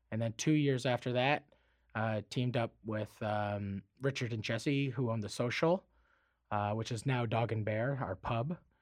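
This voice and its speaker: Against a quiet background, a man of medium pitch speaks fairly slowly with ordinary pitch variation. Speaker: chef and TV host. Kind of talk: casual radio interview. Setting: studio. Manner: casual, slangy, animated.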